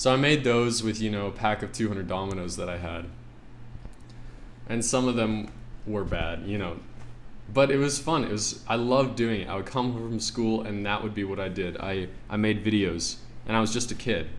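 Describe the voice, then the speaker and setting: A man's fairly low voice at a moderate pace, with ordinary pitch variation, long and frequent pauses, and noticeable background noise. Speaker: artist. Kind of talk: casual talk to camera. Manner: stuttering, halting.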